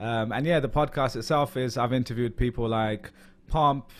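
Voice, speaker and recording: At a moderate pace, a man of medium pitch talks with a London accent. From London, England. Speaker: podcast host, interview guest. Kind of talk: interview. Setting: call. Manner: casual, many fillers.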